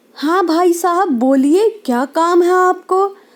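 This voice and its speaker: In a cartoonish character voice, a woman speaks at an extremely high pitch. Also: fairly slow pace. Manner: anxious, earnest.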